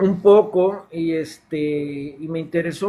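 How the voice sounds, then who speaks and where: A man with a Mexican accent and ordinary pitch variation. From Mexico, Yucatán (Mérida). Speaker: caller, devotee. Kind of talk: casual chat. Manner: halting, with fillers.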